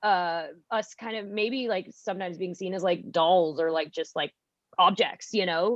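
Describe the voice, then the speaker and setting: Her tone animated, a woman talks at a moderate pace in a medium pitch with ordinary pitch variation. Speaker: improv comedian and student. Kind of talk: casual podcast chat. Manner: loud; animated, filler-heavy.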